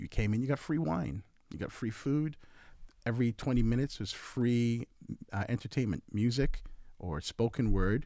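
A man's dark, mellow tone with lively intonation, a moderate pace, and long, frequent pauses. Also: medium pitch for a man. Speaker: event organizer and artist. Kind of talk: casual chat.

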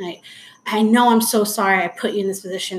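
A woman with a Southern Californian accent, at a fairly quick pace and fairly even intonation, over noticeable background noise. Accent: Southern California American. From Anaheim, California. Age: 40s. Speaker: guest, mother and stepmom. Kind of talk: casual interview, personal storytelling.

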